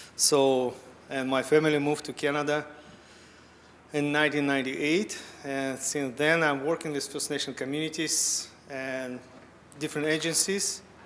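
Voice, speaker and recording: A man speaks at a fairly high pitch in a monotone, flat intonation, with long, frequent pauses. Noticeable background noise runs underneath. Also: moderate pace. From Siberia, Russia. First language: Russian. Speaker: fisheries scientist and panel moderator. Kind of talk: panel discussion opening. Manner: loud.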